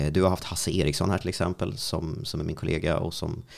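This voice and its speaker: With ordinary pitch variation, a man talks in a voice marked by vocal fry. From Sweden, Strängnäs. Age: 30s. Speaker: radio host. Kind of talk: casual interview. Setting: studio.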